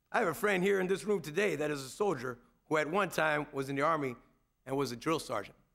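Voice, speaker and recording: Very fast and confident in tone, a man with an American accent speaks at a fairly high pitch with ordinary variation, in a very clean recording with a silent background. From United States. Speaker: Marine Corps first sergeant and former drill instructor. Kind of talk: Veterans Day ceremony speech to an audience. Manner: confident, commanding, humorous.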